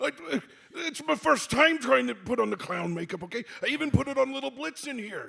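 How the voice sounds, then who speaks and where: With a raised, projected voice, a man does a put-on character voice at an extremely high pitch and fairly quick pace. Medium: actual play.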